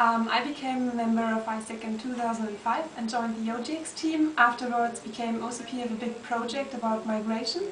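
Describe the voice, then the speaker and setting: A woman with a German accent speaks at a moderate pace in a fairly high voice, with fairly even intonation and hardly any pauses. Room echo is audible, along with light background noise. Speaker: student organization board member. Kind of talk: recorded video greeting. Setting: office. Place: office. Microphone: webcam.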